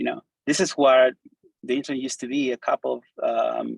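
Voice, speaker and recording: Recorded with a dry, close sound and no echo, a man with a Spanish accent talks at a moderate pace. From Argentina. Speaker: designer and coder giving a talk. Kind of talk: conference presentation. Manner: animated, casual.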